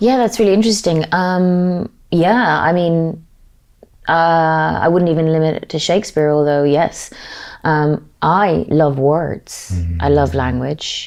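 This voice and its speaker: A woman with an Irish accent speaks at a very deep, low pitch and a fairly slow pace. Her loudness stays very even, and her pitch varies in an ordinary way. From Ireland. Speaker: actor. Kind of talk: interview answer.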